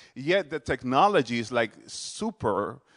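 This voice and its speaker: A man with a Dominican accent, in a dry, close sound with no echo. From Dominican Republic. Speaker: visiting pastor. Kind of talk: sermon. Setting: church.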